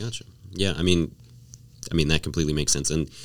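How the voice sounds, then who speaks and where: Very deep and low, a man's voice carries vocal fry and fairly even intonation. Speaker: student. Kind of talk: casual chat. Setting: studio.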